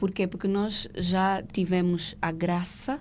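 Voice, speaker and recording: In a very clean recording with a silent background, a woman speaks with monotone, flat intonation. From Angola. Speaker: legal professional. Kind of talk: podcast interview.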